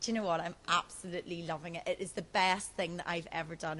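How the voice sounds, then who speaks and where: A woman talks in an animated tone with a Northern Irish accent. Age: 20s. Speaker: TV presenter and reality show contestant. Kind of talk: interview.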